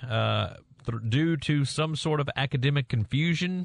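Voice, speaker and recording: A man with a Southern US accent is heard over a quiet background. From Mississippi. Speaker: sports radio co-host. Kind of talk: casual sports talk. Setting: radio studio.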